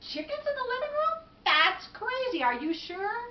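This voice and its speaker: A woman puts on a squeaky character voice at an extremely high pitch. Her pitch swings very widely at a moderate pace. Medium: read story. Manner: exasperated.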